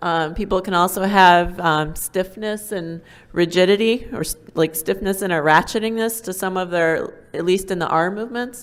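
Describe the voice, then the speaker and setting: A woman at a medium pitch and moderate pace, with ordinary pitch variation and hardly any pauses. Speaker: neurologist. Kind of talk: medical lecture. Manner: hesitant, many ums.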